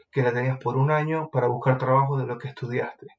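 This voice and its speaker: With a flat, monotone intonation, a man talks at a medium pitch. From Venezuela, Maracaibo. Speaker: civil engineer. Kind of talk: interview.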